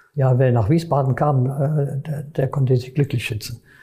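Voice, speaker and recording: There is noticeable background noise behind this man. He speaks at a medium pitch with fairly even intonation. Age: 90s. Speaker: retired prosecutor. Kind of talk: interview recollection. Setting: office. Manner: halting.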